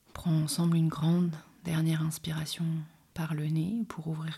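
Somewhat breathy and fairly low in pitch, a woman speaks with a dark, mellow tone. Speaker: podcast host and meditation guide. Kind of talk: guided meditation. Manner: slow; soft-spoken.

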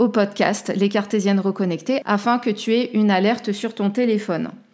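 Heard on a very clean recording with a silent background, a woman with an ordinary speaking voice and fairly high pitch keeps her intonation fairly even. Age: 30s. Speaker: life coach and podcast host. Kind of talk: solo self-help podcast talk.

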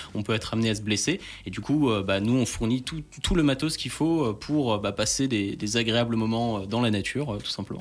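An ordinary speaking voice from a man at a medium pitch, with ordinary pitch variation and a fairly quick pace. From France, Alsace (Strasbourg). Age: 20s. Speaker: entrepreneur, former soldier and firefighter. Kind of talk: radio interview.

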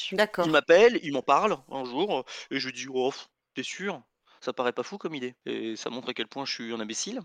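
An unremarkable speaking voice moves at a moderate pace with lively intonation, recorded with a dry, close sound with no echo against a quiet background. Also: man, fairly high pitch for a man. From France. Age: 40s. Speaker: board game designer. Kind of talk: casual interview.

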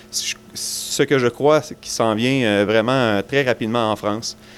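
Speaking with a Quebec accent, a man keeps his medium-pitched voice fairly even in intonation. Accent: Québécois French. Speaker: brewer and beer judge. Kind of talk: interview.

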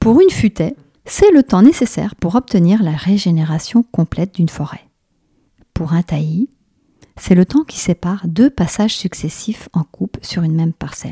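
In a dry, close sound with no echo, a woman of medium pitch speaks at a moderate pace, her tone dark and mellow and somewhat breathy. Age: 50s. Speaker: naturopath and shiatsu practitioner, podcast host. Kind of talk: reflective monologue.

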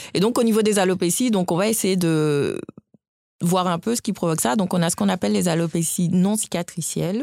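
A woman uses a normal speaking voice at medium pitch, talking at a fairly quick pace with ordinary pitch variation and very even loudness in a very clean recording with a silent background. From West Africa (Guinea, Nigeria, Burkina Faso). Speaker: doctor. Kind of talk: interview.

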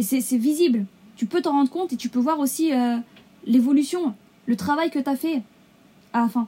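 A woman speaks at a moderate pace in a high voice with ordinary pitch variation. Her pauses are long and frequent. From Essonne, Paris region, France. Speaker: law graduate. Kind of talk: interview.

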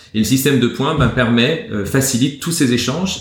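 Pitch varies in an ordinary way while the talking keeps a moderate rate amid audible room echo. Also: man. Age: 40s. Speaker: entrepreneur. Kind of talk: interview. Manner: hesitant, many fillers.

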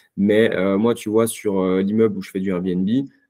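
Fairly low in pitch, a man speaks at a fairly quick pace in a flat, monotone way. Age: 30s. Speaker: real estate investor. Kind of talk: interview.

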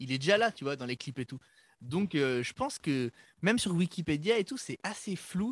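A high-pitched male voice at a moderate pace, with very wide pitch swings, in a very clean, dry, close recording with a silent background and no echo. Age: 20s. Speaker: pop-punk musician. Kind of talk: casual chat.

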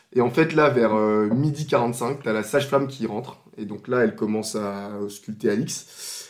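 There is noticeable background noise as a man talks, his pitch varying in an ordinary way. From Ivory Coast until 13, then France. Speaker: podcast guest, new father. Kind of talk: casual chat.

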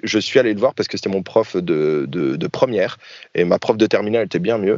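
At a moderate pace, a man speaks with vocal fry. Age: 30s. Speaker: YouTuber and airsoft player. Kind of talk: casual interview.

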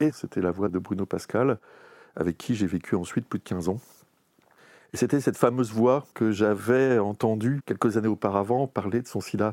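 On a very clean recording with a silent background and a dry, close sound with no echo, a man with a plain, everyday voice speaks at a moderate pace in a fairly low pitch with ordinary pitch variation. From Normandy, France. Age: 50s. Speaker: AIDS memorial association former president. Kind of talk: oral history interview. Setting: recorded interview in Paris.

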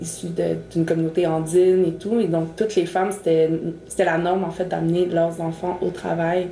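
Through audible room echo and noticeable background noise, a woman speaks in a flat monotone at a fairly low pitch and a moderate pace. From Montreal, Quebec. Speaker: mother sharing her experience. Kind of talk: personal testimony.

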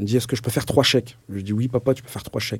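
The speaker is a man with a somewhat breathy voice. His pitch varies in an ordinary way. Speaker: mentor. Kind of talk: interview testimony. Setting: in-person recording in Cambrai. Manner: halting, many fillers and repetitions.

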